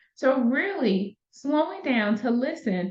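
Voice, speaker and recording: A woman with an American accent talks in a high pitch and an animated tone. Her pitch swings very widely. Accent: Southern US, comes out occasionally. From US South, Valdosta, Georgia. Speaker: wellness coach. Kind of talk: solo podcast talk. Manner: conversational, animated.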